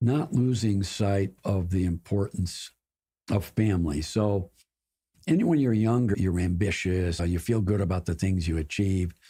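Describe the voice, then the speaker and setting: A man with an American accent talks at a fairly slow pace, somewhat breathy, at a fairly low pitch with a dark, mellow tone. His loudness stays very even on a very clean recording with a silent background. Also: ordinary pitch variation. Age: 80s+. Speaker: corporate board director. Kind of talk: podcast interview.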